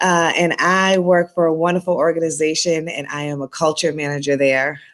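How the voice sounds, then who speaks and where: With a slight Boston accent, a woman speaks at a moderate pace and very deep, low pitch with ordinary pitch variation, in a very clean recording with a silent background. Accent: slight Boston accent, noticeable on R words. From Boston, Massachusetts. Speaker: school staff member and basketball coach. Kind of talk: interview.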